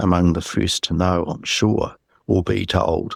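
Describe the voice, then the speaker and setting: A man speaks with a New Zealand accent at a fairly slow pace. The sound is dry and close, with no echo. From New Zealand, Christchurch. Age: 60s. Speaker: UFO eyewitness. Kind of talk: interview.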